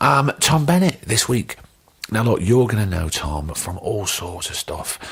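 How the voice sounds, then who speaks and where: A man with a London accent speaks at a fairly low pitch and a fairly slow pace. His pitch swings very widely, over noticeable background noise. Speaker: podcast host. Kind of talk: casual chat. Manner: animated.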